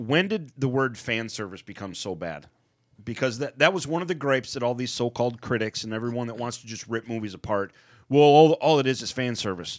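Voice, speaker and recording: With a plain, everyday voice at medium pitch, a man talks fairly quickly with lively intonation and big swings in loudness, in a very clean recording with a silent background. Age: 40s. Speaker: podcast co-host. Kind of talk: casual chat. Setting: studio.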